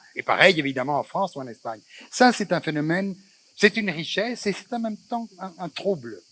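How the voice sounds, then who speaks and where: A man's high-pitched, fairly quick speech with lively intonation and a dry, close sound with no echo. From Tangier, Morocco. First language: Spanish (Judeo-Spanish) (speaking French). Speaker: moderator of a cultural talk. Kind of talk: public panel discussion. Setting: festival stage with audience. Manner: halting, many hesitations.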